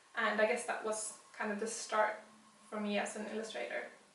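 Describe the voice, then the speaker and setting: A woman speaks at a fairly high pitch, with audible room echo and noticeable background noise. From Sweden (Västerås). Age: 30s. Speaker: illustrator. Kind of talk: interview.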